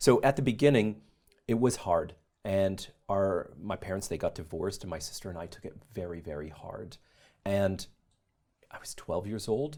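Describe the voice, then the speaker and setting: With a Canadian accent, a man talks at a moderate pace in a dark, mellow tone, using lively intonation, big swings in loudness, and long, frequent pauses. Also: fairly low pitch for a man. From Canada, Calgary. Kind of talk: interview testimony.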